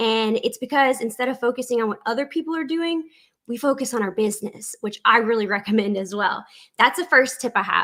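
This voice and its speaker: A woman with a South Louisiana accent speaks at a high pitch with a bright, sharp tone. She talks at a fairly quick pace with ordinary pitch variation. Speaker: online business coach. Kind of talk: tutorial. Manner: conversational.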